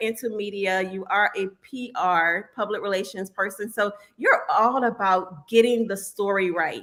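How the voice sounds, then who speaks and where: Keeping a moderate pace with hardly any pauses, a woman talks at a fairly high pitch with ordinary pitch variation and big swings in loudness. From Norfolk, Virginia. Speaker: podcast host. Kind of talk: interview.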